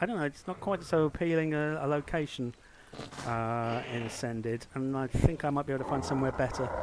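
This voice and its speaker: A man with a British accent, medium-pitched, at a fairly quick pace. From Britain. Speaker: gaming streamer. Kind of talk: gameplay commentary. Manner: halting, frequent repetitions; casual.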